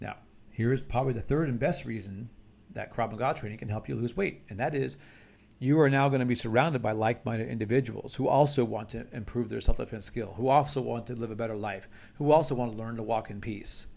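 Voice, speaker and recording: With vocal fry and a medium pitch, a man races along at a very fast pace, his loudness swinging widely while his pitch varies in an ordinary way. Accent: American. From United States. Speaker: martial arts instructor. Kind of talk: instructional talk to camera. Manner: casual, conversational with repetitions.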